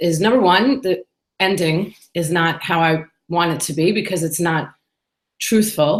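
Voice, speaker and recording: A woman with a New York accent speaks at a fairly low pitch, using ordinary pitch variation. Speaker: business owner and podcaster. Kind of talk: solo vlog monologue. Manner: casual and chatty.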